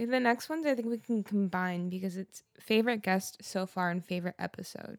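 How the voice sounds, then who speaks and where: A woman with an ordinary speaking voice talks at a fairly quick pace, at a medium pitch and with ordinary pitch variation. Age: 20s. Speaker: podcast co-host and songwriter. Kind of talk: casual chat.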